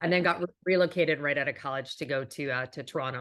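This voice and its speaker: This woman talks at a very fast pace in a very deep, low pitch, with a slight Canadian accent. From western Canada, Calgary. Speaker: business executive and author. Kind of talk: interview.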